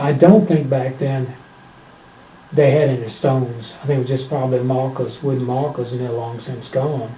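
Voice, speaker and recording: Spoken in a strong Virginia accent at a moderate pace with fairly even intonation, the voice comes with audible room echo and noticeable background noise. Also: man, medium pitch for a man. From Virginia, US. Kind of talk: casual interview.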